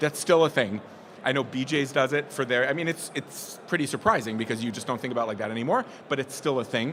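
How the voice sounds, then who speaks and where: Animated in tone, a man talks very fast at a medium pitch with ordinary pitch variation. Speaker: business presenter. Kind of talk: presentation to live audience.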